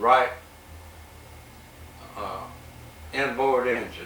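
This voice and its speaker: There is noticeable background noise. A man with an American accent talks at a fairly slow pace and a medium pitch. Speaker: World War II veteran, former bomber pilot. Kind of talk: oral history interview answer. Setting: interview room.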